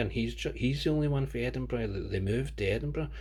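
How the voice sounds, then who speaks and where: A man speaks with audible room echo. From Scotland. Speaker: comic book reviewer. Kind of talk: casual monologue review. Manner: fast; animated.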